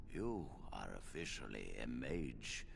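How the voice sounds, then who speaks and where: A man in a put-on character voice, with clear background noise. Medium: game stream. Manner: warm, measured, fatherly.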